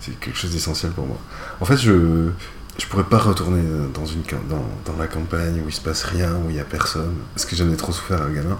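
A man's very deep, low voice at a fairly quick pace, with long, frequent pauses, ordinary pitch variation, audible room echo and noticeable background noise. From rural France, mountain valley. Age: 30s. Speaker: sex worker and illustrator. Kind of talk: interview. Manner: halting.

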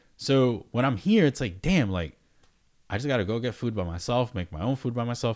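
A man's medium-pitched voice, lively in intonation and fairly quick in pace, on a very clean recording with a silent background. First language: not English. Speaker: poker player and podcast co-host. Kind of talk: casual chat.

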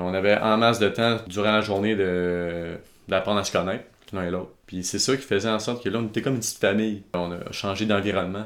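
Very fast speech in a Quebec accent, with fairly even intonation. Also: man, fairly low pitch for a man. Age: 20s. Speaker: videographer and entrepreneur. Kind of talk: interview. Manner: halting.

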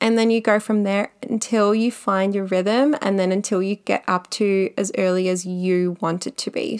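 Speaking in an Australian accent, a woman has a medium pitch and an animated tone. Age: 30s. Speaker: podcast host and makeup artist. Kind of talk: solo podcast monologue.

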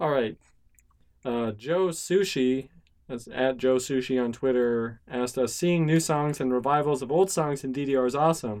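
A man with an unremarkable speaking voice talks at a moderate pace, his medium pitch moving with ordinary variation. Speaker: podcast co-host. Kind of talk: casual chat.

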